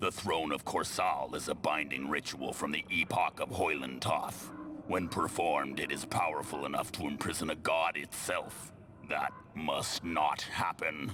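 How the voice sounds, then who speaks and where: A man puts on a character voice at a moderate pace. Background noise is clearly heard. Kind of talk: epic fantasy villain. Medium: machinima. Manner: imperious, commanding.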